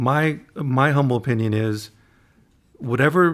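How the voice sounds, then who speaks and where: This man has an unremarkable speaking voice, a medium pitch and fairly even intonation. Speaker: podcast host. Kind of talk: interview.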